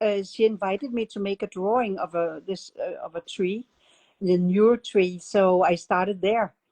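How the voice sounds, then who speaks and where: Her dark, mellow voice at a medium pitch carries a Danish accent as the woman speaks at a moderate pace with fairly even intonation, the sound dry and close with no echo. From Denmark. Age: 70s. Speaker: art method instructor. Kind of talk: interview. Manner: halting.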